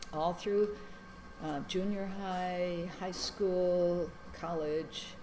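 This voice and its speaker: A woman with an American accent speaks very slowly in a fairly low pitch, her intonation monotone and flat. Audible room echo and noticeable background noise fill the recording. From US Midwest, Madison, Wisconsin. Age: 70s. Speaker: interviewee. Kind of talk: life story interview. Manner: hesitant, many fillers.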